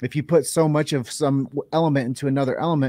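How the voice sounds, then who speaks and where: A man with an American accent speaks very fast at a fairly high pitch, his intonation fairly even, on a very clean recording with a silent background. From Iowa. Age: 40s. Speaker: podcast host. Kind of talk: interview.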